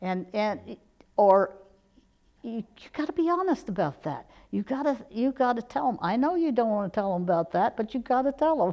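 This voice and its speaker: Over a quiet background, a woman speaks at a moderate pace and fairly high pitch, her dark, mellow tone moving through very wide pitch swings. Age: 70s. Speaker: author. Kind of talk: interview. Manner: halting, with fillers; energetic. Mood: warm, reflective. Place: studio. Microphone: lapel.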